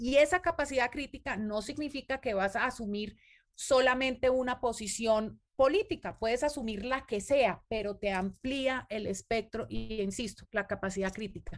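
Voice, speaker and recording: A woman talks at a moderate pace with hardly any pauses, in a normal speaking voice pitched fairly high. Her pitch varies in an ordinary way, and the recording is very clean with a silent background. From Colombia. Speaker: cultural manager. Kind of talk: interview.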